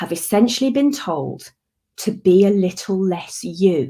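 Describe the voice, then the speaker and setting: A woman speaks with lively intonation and a dark, mellow tone. Her voice is somewhat breathy. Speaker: conference speaker. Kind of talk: talk. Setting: online conference. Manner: enthusiastic.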